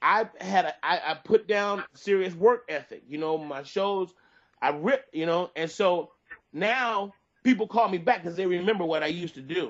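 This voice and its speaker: Animated in tone, a man with a high voice speaks at a moderate pace with ordinary pitch variation. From Detroit, Michigan. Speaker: stand-up comedian. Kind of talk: interview.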